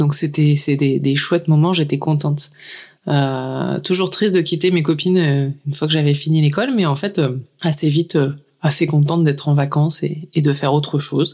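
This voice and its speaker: A woman speaks at a very deep, low pitch with a dark, mellow tone. Her intonation stays fairly even. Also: moderate pace, very even loudness. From northern France, Lille area. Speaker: podcaster. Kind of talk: testimony.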